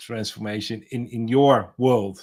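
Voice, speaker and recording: The recording of this man's voice is very clean, with a silent background. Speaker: podcast host. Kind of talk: interview conversation. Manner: halting, repeats words.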